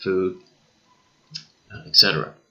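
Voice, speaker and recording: A man is speaking. He has a Newfoundland accent. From Newfoundland, eastern Canada. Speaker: teacher. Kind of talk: lecture. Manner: frequent fillers like okay and uh.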